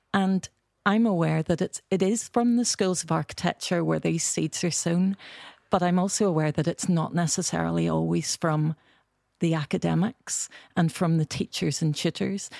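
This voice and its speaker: Speaking at a moderate pace in a Belfast accent, a woman has a fairly low pitch, ordinary pitch variation, very even loudness and a dark, mellow tone, captured on a very clean recording with a silent background and a dry, close sound with no echo. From Northern Ireland, Belfast. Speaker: architecture education director. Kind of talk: panel discussion. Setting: studio.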